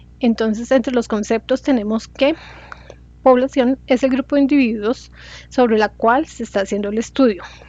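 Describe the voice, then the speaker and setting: Noticeable noise runs behind speech delivered at a moderate speed. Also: woman. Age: 40s. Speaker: student. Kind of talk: class presentation. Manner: halting.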